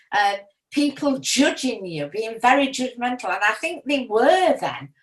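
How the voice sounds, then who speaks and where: Her pace is fairly slow. The woman's high voice carries lively intonation. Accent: Yorkshire. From Yorkshire, northern England. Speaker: retiree sharing memories. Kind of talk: personal reminiscence. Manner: hesitant, many fillers.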